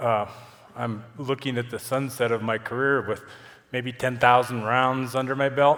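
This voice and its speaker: With an American accent, a man speaks at medium pitch and a moderate pace. His intonation is monotone and flat. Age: 70s. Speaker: avalanche professional, conference speaker. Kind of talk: conference presentation. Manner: halting, with frequent fillers.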